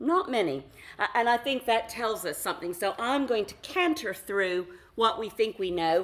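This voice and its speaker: A woman with an American accent talks at a moderate pace in a fairly high pitch, her voice making very wide pitch swings. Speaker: foundation director, workshop facilitator. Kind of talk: conference talk.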